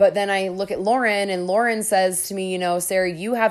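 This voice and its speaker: A woman with a normal speaking voice talks at a medium pitch and moderate pace, her intonation fairly even, on a very clean recording with a silent background. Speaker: podcast host. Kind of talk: casual solo monologue, comedic storytelling. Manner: casual, rambling, humorous.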